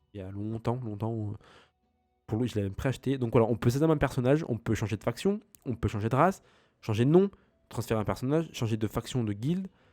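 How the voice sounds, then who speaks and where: Lively intonation runs at a very fast pace, broken by long, frequent pauses. Music plays in the background. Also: man, medium pitch for a man. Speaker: gaming youtuber. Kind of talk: let's play commentary. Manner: halting.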